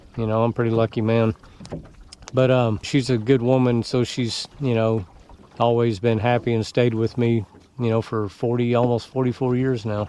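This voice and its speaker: Over noticeable background noise, a man with a medium pitch speaks in a relaxed tone at a moderate pace, his intonation monotone and flat. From Oklahoma, moved from Dallas area at 14. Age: 60s. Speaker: retiree vlogger. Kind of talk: casual reflective monologue. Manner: relaxed, hesitant with many fillers.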